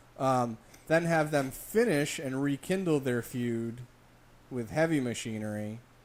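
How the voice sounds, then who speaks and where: A man with a plain, everyday voice speaks at a medium pitch. He goes at a fairly slow pace with ordinary pitch variation. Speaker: wrestling podcast co-host. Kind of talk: casual chat.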